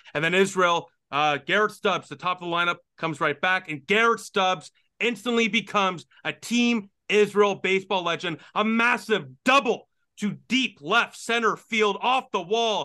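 Against a quiet background, a man projects a raised voice at a high pitch with a bright, sharp tone and a moderate pace. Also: ordinary pitch variation. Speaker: sports podcaster and hockey commentator. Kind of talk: sports commentary recap, casual analysis.

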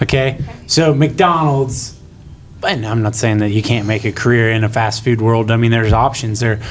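In an American accent, a man with a medium pitch speaks at a moderate pace amid noticeable background noise. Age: 30s. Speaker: agriculture teacher and student club advisor. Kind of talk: casual group discussion. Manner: halting, many fillers.

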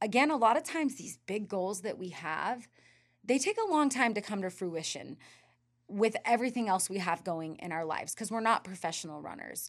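In a very clean recording with a silent background, a woman with a plain, everyday voice and an American accent speaks at a fairly quick pace, medium in pitch, with lively intonation and big swings in loudness. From US West (Northern California). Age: 30s. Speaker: ultra runner and running coach. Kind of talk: casual interview chat.

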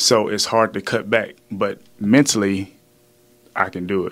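On a very clean recording with a silent background, this speaker talks with a Louisiana accent in a monotone, flat intonation. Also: man. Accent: Southern US (Louisiana). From Louisiana, small town. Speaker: fitness trainer, former pro football player. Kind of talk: casual chat.

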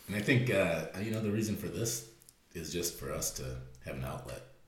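Audible room echo surrounds a man speaking at a moderate pace, his very deep, low pitch ranging through very wide swings. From US Midwest (Fremont, Ohio). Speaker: podcast co-host, fitness business owner. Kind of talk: casual chat.

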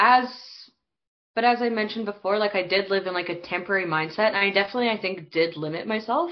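Talking at a very fast pace, a woman with a Western Canadian accent has a medium pitch and ordinary pitch variation. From Canada, Alberta (small town near Calgary). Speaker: recent emigrant. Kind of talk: casual chat.

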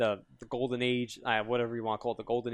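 A man speaks with a New York accent. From Yonkers, New York. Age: 20s. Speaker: fighting game community writer. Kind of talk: casual chat.

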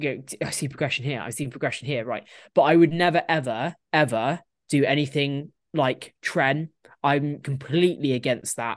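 A woman with a British accent, very deep and low in pitch, with fairly even intonation at a moderate pace over a quiet background. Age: 20s. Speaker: professional bodybuilder. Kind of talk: casual chat.

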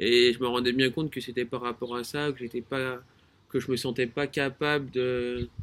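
Delivered at a moderate speed, the voice stays monotone and flat. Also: man, medium pitch for a man. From France, Rhône-Alpes. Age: 20s. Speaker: engineer. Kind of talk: casual chat. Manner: halting.

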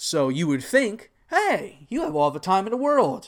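A man with an ordinary speaking voice uses lively intonation and a fairly slow pace. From Texas. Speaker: podcaster and Twitch streamer. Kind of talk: solo monologue podcast. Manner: casual, with filler words and self-corrections.

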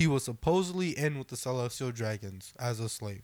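Over a silent background in a very clean recording, a man uses an ordinary speaking voice with lively intonation at a moderate pace. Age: 20s. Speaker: podcast co-host. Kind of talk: casual chat.

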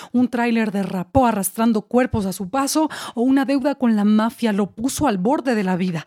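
In a theatrical, dramatic tone, a woman with a fairly high pitch speaks at a moderate pace with ordinary pitch variation. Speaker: poet and actress. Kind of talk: performed spoken-word poem. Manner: wry, theatrical, dramatic with mock-tragic irony.

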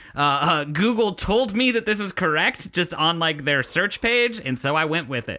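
Lively intonation from a man with a high pitch for a man, at a moderate pace, with music in the background. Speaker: podcast co-host. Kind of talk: casual comedic banter podcast.

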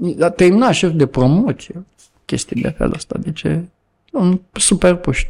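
At a fairly slow pace, a man with a high pitch speaks with lively intonation. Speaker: activist. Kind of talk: casual chat.

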